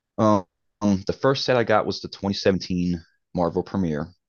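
A man speaks at a moderate pace with a Baltimore accent. His pitch is fairly low. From Baltimore, Maryland. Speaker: comic collector guest host. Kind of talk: casual chat.

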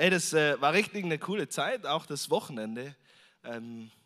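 Normal speaking voice of a man, ordinary in pitch variation, on a very clean recording with a silent background. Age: 30s. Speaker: visiting preacher. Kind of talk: sermon. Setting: church service with congregation. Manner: casual, with frequent fillers.

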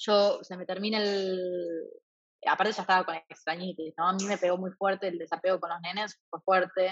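A woman's monotone, flat intonation. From Argentina, rural Santa Fe province. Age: 20s. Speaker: traveler and translator. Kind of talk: casual interview.

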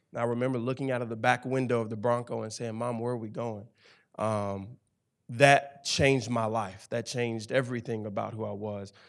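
A man with a Memphis accent, medium-pitched, fairly quick, with monotone, flat intonation. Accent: Southern US (Memphis). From Memphis, Tennessee. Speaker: campus ministry staff, former football player. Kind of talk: interview testimony on church stage.

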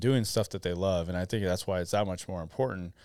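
Here a man speaks in a normal speaking voice at a fairly low pitch with fairly even intonation. The recording is very clean, with a silent background. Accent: American. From Arizona. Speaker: CEO and co-founder of a clothing brand. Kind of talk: casual interview chat. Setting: studio.

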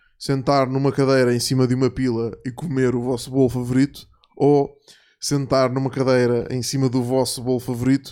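At a moderate pace, a man talks at a medium pitch. His tone is dark and mellow, with monotone, flat intonation. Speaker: podcast host. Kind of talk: casual chat.

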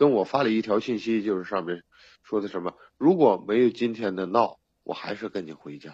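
Over a quiet background, a man with an ordinary speaking voice and fairly low pitch talks at a fairly quick pace, with ordinary pitch variation and big swings in loudness. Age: 30s. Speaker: caller seeking relationship advice. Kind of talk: personal story told in a call-in advice chat.

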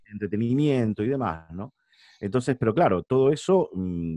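In a Rioplatense accent, a man with a medium pitch and a dark, mellow tone talks at a moderate pace with lively intonation, the sound dry and close with no echo. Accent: Argentine Spanish (rioplatense). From Argentina, San Nicolás de los Arroyos. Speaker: arena announcer and sports commentator. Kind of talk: casual interview.

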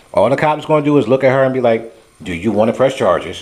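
Fairly quick speech from a man against noticeable background noise. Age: 40s. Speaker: podcast co-host. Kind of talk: casual chat.

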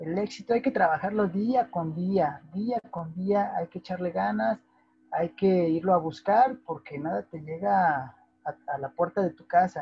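A man with a Mexican accent speaks at a fairly slow pace, his high pitch carrying lively intonation. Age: 30s. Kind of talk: interview.

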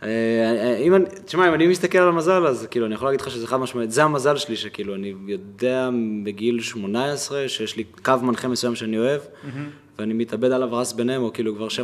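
Moving at a fairly quick pace, a man with an ordinary speaking voice talks at a medium pitch with ordinary pitch variation. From Israel, Kiryat Malachi. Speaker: podcast host. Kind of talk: interview.

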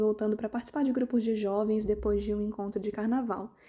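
Fairly high in pitch, a woman's voice has a dark, mellow tone and fairly even intonation. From Volta Redonda, Rio de Janeiro state, Brazil. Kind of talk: personal testimony.

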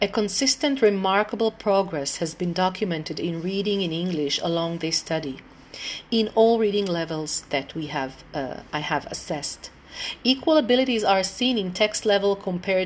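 At a moderate pace, a woman with a medium pitch speaks with lively intonation in an Israeli accent. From Israel, Tel Aviv. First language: Hebrew. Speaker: English teacher. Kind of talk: informal presentation; reading aloud. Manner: halting, many fillers.

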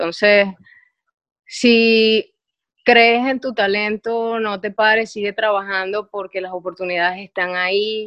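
The woman's pitch is medium and her intonation flat and monotone. She speaks very slowly. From Venezuela, Maracaibo. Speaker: DJ. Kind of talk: casual chat.

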